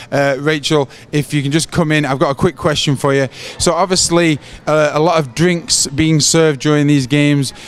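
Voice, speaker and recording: A man speaks at a moderate pace with a fairly high pitch, a flat monotone delivery and very even loudness, over noticeable background noise. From England. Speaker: sports club presenter. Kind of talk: on-location interview. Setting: bar watch party.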